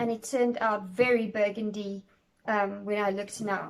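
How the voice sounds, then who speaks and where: A woman speaks with a non-native accent at a moderate pace, her intonation fairly even. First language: not English. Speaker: cake decorating tutor. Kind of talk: tutorial. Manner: halting, many fillers.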